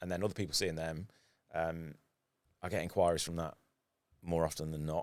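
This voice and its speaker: A man with a British accent speaks at a very deep, low pitch in a monotone, flat intonation. His pace is fairly quick, broken by long, frequent pauses. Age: 40s. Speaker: photographer and former professional guitarist. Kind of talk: casual podcast interview.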